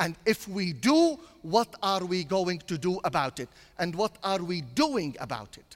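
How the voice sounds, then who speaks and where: A man's high-pitched voice, fairly slow, with very wide pitch swings and big shifts in loudness. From Syria (Damascus). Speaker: priest. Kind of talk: sermon.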